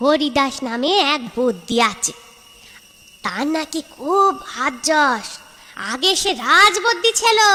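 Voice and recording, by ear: In a cartoonish character voice, the speaker goes at a fairly slow pace with very wide pitch swings. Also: woman, high pitch for a woman.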